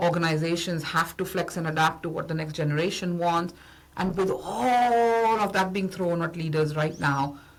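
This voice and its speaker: Audible echo fills the room. In it, a woman talks at a moderate pace. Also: fairly low pitch for a woman, ordinary pitch variation. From India. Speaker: business founder and consultant. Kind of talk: podcast interview.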